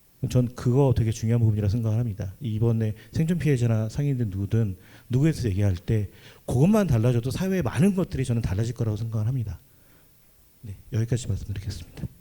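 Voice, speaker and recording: A man's very fast, somewhat breathy speech, medium in pitch with ordinary variation and a dark, mellow tone. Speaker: panelist, religious worker and committee member. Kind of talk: panel discussion.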